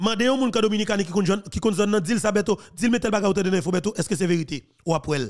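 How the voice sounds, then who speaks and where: Over a quiet background, a high-pitched man talks at a fairly quick pace with hardly any pauses. His pitch varies in an ordinary way. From Haiti. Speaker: political commentator. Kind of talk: political commentary. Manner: animated. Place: home room. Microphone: studio mic.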